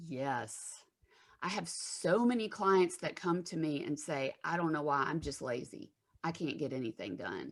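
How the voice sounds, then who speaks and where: In a Southern US accent, a woman speaks at a fairly slow pace in a very deep, low voice with lively intonation. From US South, Alabama. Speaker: therapist. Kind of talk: interview.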